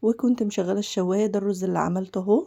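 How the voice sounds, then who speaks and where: With an Egyptian accent, a woman speaks at a medium pitch in a dark, mellow tone with fairly even intonation. The recording is very clean and the background silent. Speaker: cooking channel host. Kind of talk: cooking tutorial. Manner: casual, chatty.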